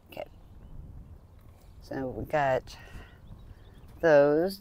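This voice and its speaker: A man talks with ordinary pitch variation. The sound is dry, with no echo. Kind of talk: tutorial. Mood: relaxed, calm. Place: garden. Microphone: phone near.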